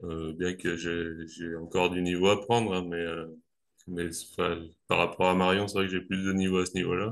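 Monotone, flat delivery from a man at a moderate pace, his pitch very deep and low. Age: 30s. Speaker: amateur pole dancer. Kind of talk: casual interview. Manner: halting, many hesitations.

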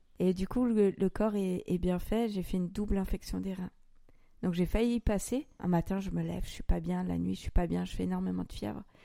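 A woman talks fairly briskly in a very clean recording where the background is silent. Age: 30s. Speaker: podcast host sharing her own story. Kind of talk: personal testimony in conversation. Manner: hesitant.

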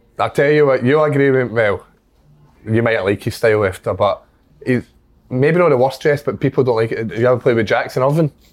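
A man talks at a very fast pace in a Scottish accent. His medium-pitched voice shows ordinary pitch variation. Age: 20s. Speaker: footballer. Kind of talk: casual chat.

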